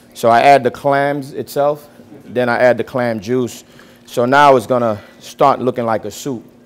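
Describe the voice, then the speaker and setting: A man with a medium-pitched voice talks at a moderate pace with fairly even intonation over music in the background. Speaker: chef teaching a cooking class. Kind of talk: cooking class demonstration.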